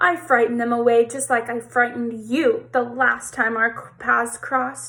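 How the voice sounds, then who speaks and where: In a put-on character voice, a woman speaks at a moderate pace with a high pitch. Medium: read story. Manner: cool, firm, unafraid.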